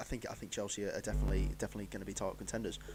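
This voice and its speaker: In an English accent, a man speaks at a fairly low pitch with vocal fry and fairly even intonation. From England. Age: 20s. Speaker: football pundit. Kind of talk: live stream commentary. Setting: live stream. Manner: halting.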